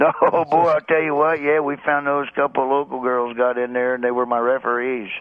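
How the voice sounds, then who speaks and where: A man with an American accent talks at a fairly quick pace and medium pitch, with hardly any pauses. His intonation is fairly even, and there is noticeable background noise. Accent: rural Southern American, redneck. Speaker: stand-up comedian. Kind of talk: comedic radio interview banter.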